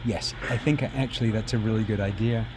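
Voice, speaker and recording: Fairly quick speech in an American accent comes through noticeable background noise. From UK. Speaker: retrocomputing hobbyist streamer. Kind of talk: casual live stream chat. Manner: casual, thinking aloud with fillers.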